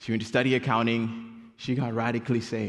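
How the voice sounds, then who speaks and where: Fairly quick, flat, monotone delivery from a man at medium pitch, with audible room echo. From Kenya, Nairobi. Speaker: campus missions director. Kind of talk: sermon. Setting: church.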